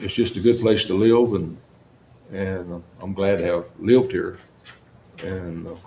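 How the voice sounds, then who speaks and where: Delivered fairly slowly in an American accent, the speech has long, frequent pauses, ordinary pitch variation and audible room echo. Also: man, fairly low pitch for a man. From South Texas. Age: 80s+. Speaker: longtime county sheriff. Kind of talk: interview. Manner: halting, with many repeated words.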